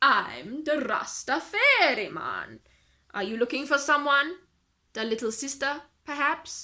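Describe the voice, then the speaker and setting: A woman's put-on character voice, high in pitch and drawling, at a fairly slow pace. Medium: read story. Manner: relaxed, drawling, peppered with "man".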